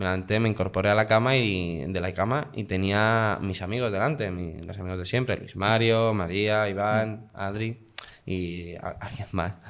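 A normal speaking voice from a man, pitched fairly low, moving at moderate speed. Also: fairly even intonation. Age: 20s. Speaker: guest sharing personal experience. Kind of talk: casual interview.

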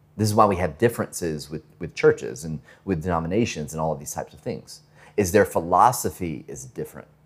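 A man with an American accent talks at a very fast pace. Vocal fry runs through his voice. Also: big swings in loudness. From US South, Georgia (northwest of Atlanta). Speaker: pastor. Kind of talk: sermon. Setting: church with congregation. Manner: halting, many fillers and repetitions.

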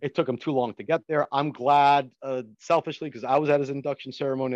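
A man's very fast, medium-pitched speech with an American accent, dry and close with no echo, over a quiet background. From Paterson, New Jersey. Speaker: stadium preservation advocate. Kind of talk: casual interview chat.

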